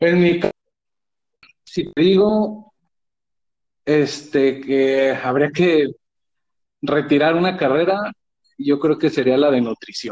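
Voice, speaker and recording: A man speaks at a very slow pace in a fairly high pitch, his loudness very even. Long, frequent pauses break up his speech. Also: ordinary pitch variation. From Mexico, Guadalajara. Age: 40s. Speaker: office worker. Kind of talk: casual chat.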